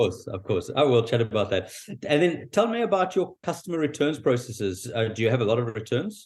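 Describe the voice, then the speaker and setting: A man with a South African accent talks at a fairly quick pace and a medium pitch. His voice is somewhat breathy, with very wide pitch swings. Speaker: podcast host. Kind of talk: interview. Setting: call.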